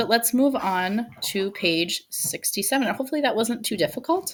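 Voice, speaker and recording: A woman's plain, everyday voice, fairly high in pitch, at a moderate pace with lively intonation. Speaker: elementary school teacher. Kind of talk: recorded video lesson.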